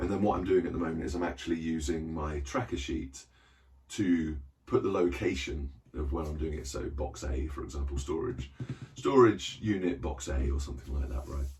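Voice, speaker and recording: A man with a British accent speaks at a fairly quick pace, his pitch very deep and low with ordinary variation. Audible room echo fills the recording. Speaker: book collector vlogger. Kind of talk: casual vlog chat. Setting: small cupboard reading room. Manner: hesitant, many fillers.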